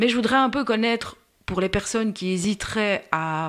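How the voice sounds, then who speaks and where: A woman with a Brussels accent, fairly slow in pace and lively in intonation. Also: very clean recording, silent background. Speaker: podcast host, patient expert for diabetes. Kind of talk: casual interview. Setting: recorded podcast.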